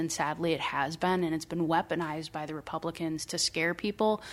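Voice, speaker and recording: Over a very clean recording with a silent background, a woman with a Midwestern US accent talks fairly quickly at a fairly low pitch with fairly even intonation. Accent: US Midwest. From rural Iowa. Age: 30s. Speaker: local party official. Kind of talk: interview. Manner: hesitant, many fillers.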